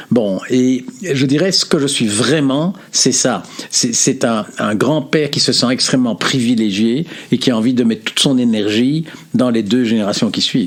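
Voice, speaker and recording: A man's fairly slow speech comes through noticeable background noise. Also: medium pitch for a man, ordinary pitch variation. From Belgium. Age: 70s. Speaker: philosopher and consultant. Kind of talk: interview.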